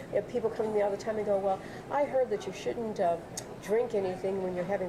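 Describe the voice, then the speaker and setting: A woman with an American accent talks at a very fast pace, her medium pitch held in fairly even intonation. Noticeable background noise runs underneath. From US Midwest, Chicago. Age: 60s. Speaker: health and wellness teacher. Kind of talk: interview.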